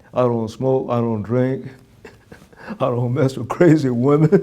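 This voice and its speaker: Over noticeable background noise, a man with an American accent speaks at a fairly slow pace, at a medium pitch and with ordinary pitch variation. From Brooklyn, New York. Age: 80s+. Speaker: war veteran. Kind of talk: interview answer. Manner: joking, humorous.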